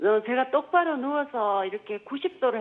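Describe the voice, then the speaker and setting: Her high pitch swings very widely as this woman talks at a fairly slow pace. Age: 50s. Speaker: caller. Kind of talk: phone-in consultation. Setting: phone call.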